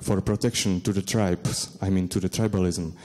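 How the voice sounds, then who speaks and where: A man talks at a fairly slow pace with a Czech accent. His tone is dark and mellow, and his intonation fairly even. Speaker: academic researcher. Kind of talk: conference presentation and Q&A. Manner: halting, many hesitations.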